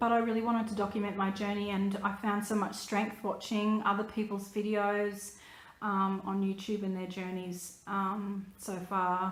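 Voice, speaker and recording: A woman's medium-pitched voice in an Australian accent, flat and monotone at a moderate pace, with noticeable background noise and audible room echo. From Australia (New South Wales). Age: 30s. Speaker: vlogger, photographer. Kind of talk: personal vlog. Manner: hesitant, many fillers.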